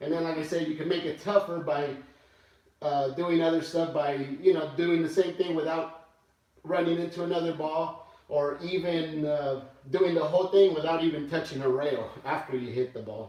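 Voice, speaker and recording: Against audible room echo, a man speaks at a moderate pace with fairly even intonation. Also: fairly high pitch for a man. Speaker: pool player streamer. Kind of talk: live stream commentary. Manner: loud; hesitant, filler-heavy.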